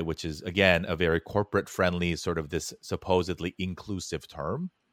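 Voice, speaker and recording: Speaking with a Californian accent, this man has a very deep, low voice. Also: dry, close sound with no echo, very clean recording, silent background. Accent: American (Californian). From Korea, raised in Los Angeles. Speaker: podcast producer and creator. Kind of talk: casual interview.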